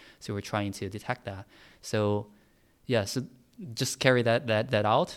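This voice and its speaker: With a Chinese accent, a man talks at a moderate pace in a fairly low pitch with fairly even intonation, on a very clean recording with a silent background. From China; Tianjin. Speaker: air pollution researcher. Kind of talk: interview. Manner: halting, hesitant.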